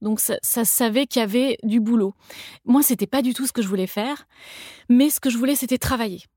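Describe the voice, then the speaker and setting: In a slight Toulouse accent, a woman speaks at a moderate pace with a fairly high pitch, a dark, mellow tone and fairly even intonation, on a very clean recording with a silent background and a dry, close sound with no echo. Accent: slight southern French (Toulouse). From France, Toulouse. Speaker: cookbook author and food creator. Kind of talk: interview conversation. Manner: hesitant, many fillers.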